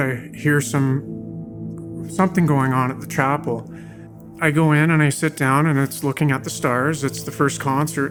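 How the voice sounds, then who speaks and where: Music plays behind the speaker. He is a man talking at a moderate pace. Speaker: parolee, former prisoner. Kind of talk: personal life story narration.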